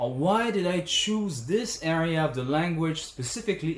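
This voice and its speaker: With a French accent, a man speaks in a fairly high pitch with lively intonation. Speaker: language teacher. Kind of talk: tutorial.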